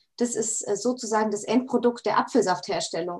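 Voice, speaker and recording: A woman with a normal speaking voice talks at a moderate pace, her fairly high pitch showing ordinary variation. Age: 20s. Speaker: food technologist and startup founder. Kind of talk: casual interview.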